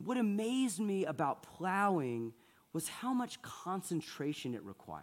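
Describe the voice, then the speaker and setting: Speaking at a fairly slow pace, a man talks in an American accent. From US South, Atlanta, Georgia. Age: 30s. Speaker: priest. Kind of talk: sermon. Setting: church.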